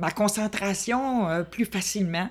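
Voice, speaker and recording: With ordinary pitch variation, a woman speaks at a very slow pace. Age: 70s. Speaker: hard-of-hearing woman sharing her life story. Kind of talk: interview testimony.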